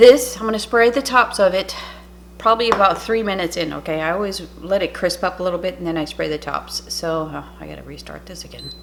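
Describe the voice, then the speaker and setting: Amid noticeable background noise, a woman talks at a fairly quick pace with big swings in loudness. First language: French. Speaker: cooking channel host. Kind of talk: cooking tutorial. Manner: casual, chatty.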